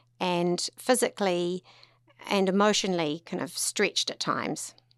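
A woman with a New Zealand accent at a medium pitch and moderate pace, dry, close sound with no echo, quiet background. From New Zealand, Tauranga. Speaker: lawyer and charity founder. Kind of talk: interview conversation.

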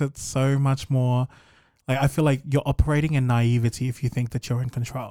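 A man with a New Zealand accent speaks at a moderate pace in a monotone, flat intonation. His fairly high voice has a dark, mellow tone on a very clean recording with a silent background. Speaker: podcast guest. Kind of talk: casual chat.

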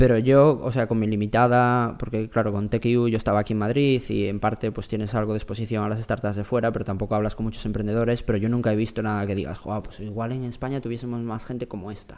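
Monotone, flat intonation at a very fast pace. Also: man, medium pitch for a man, hardly any pauses. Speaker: former tech journalist turned venture investor. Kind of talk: interview.

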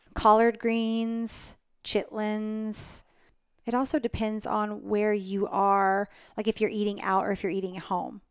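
A woman with an American accent speaks fairly slowly at a fairly high pitch in monotone, flat intonation, in a very clean recording with a silent background. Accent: Southern US, slight to moderate. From Alabama, US South. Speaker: winery general manager. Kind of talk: casual interview chat. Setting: winery tasting room, in person.

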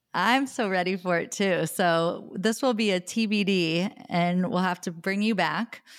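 Her tone enthusiastic and warm, a woman speaks at a fairly slow pace and medium pitch with ordinary pitch variation, hardly any pauses and very even loudness, on a very clean recording with a silent background. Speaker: podcast host and personal stylist. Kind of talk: casual interview conversation. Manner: enthusiastic, warm.

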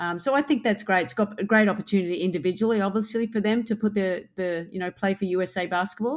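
A woman with an Australian accent at a very fast pace, on a very clean recording with a silent background. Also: medium pitch for a woman, ordinary pitch variation. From Australia, Queensland. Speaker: basketball head coach. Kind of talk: interview.

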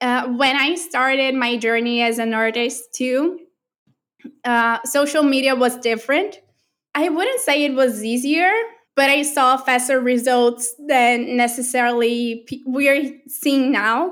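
A woman with a Portuguese accent speaks in a high pitch. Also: ordinary pitch variation, fairly slow pace. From Brazil. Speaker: artist and creative mentor. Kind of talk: casual interview chat.

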